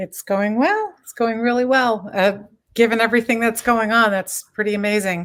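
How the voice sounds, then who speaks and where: A woman with a fairly high pitch speaks in a plain, everyday voice at a moderate pace, with fairly even intonation and big swings in loudness. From Florida (Miami, then Orlando). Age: 60s. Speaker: real estate broker. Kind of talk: interview. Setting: video call.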